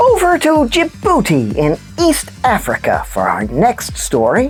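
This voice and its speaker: A cartoonish character voice speaks at a fairly slow pace. Clear music plays in the background. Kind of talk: children's puppet news show.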